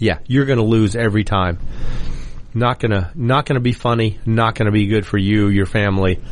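At a fairly quick pace, a man with an unremarkable speaking voice talks at a fairly low pitch with ordinary pitch variation. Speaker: radio host. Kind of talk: radio host patter. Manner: conversational, opinionated, rambling.

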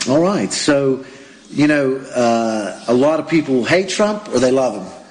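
With an American accent, a man speaks at a medium pitch with ordinary pitch variation over noticeable background noise. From United States. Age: 40s. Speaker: radio host. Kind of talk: interview.

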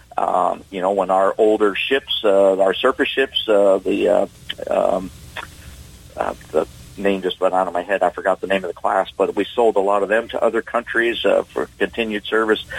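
At a moderate pace, a man talks in a fairly low pitch amid noticeable background noise. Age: 60s. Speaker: navy submarine veteran. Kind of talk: radio interview.

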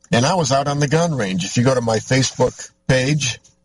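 A man with an American accent talks at medium pitch with ordinary pitch variation and a somewhat breathy voice. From US Midwest, Michigan. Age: 50s. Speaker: radio host. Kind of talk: talk radio monologue. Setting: in a vehicle on location.

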